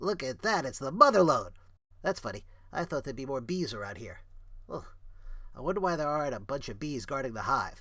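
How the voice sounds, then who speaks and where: A man's put-on character voice, fairly high-pitched and fairly quick, with long, frequent pauses on a very clean recording with a silent background. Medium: read story.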